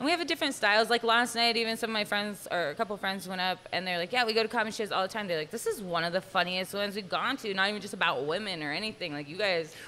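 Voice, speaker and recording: With an American accent, the speaker rushes at a very fast pace with hardly any pauses over light background noise. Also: woman. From Southern California. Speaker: podcast host. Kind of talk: casual chat. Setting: coffee shop. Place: cafe. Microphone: studio mic.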